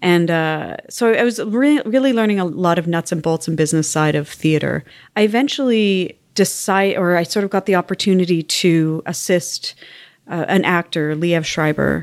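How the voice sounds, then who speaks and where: With a Canadian accent, a speaker uses a normal speaking voice at a moderate pace with ordinary pitch variation, captured on a very clean recording with a silent background. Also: woman, fairly low pitch for a woman. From Canada, West Island of Montreal. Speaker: arts organization executive. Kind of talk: interview. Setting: office.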